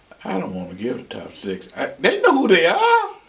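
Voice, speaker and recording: A man with an American accent talks at a moderate pace. Noticeable background noise and audible room echo surround his voice. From Oklahoma, rural. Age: 60s. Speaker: retired high school basketball coach. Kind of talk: interview storytelling. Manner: animated.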